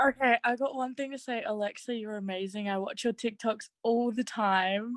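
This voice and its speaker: This woman has an Australian accent and a fairly high pitch, speaking at a moderate pace with fairly even intonation. The sound is dry and close, with no echo. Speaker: audience member. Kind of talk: casual chat. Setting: video call.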